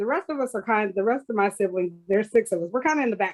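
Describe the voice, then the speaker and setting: A woman is speaking at a medium pitch. She talks with an American accent. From US Northwest (Tacoma, Washington). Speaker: community organizer. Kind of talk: interview.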